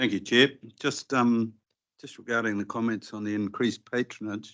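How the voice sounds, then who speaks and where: A man's medium-pitched voice with a New Zealand accent, fairly even intonation and big swings in loudness, at a moderate pace over a quiet background. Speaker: regional councillor. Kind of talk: committee meeting discussion. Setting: council committee meeting.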